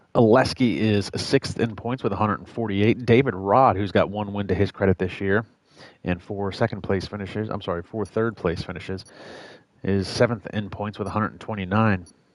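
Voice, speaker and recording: A man with an American accent has an ordinary speaking voice and a fairly low pitch. He speaks at a fairly quick pace with fairly even intonation and big swings in loudness. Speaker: sim racing commentator. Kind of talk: live commentary.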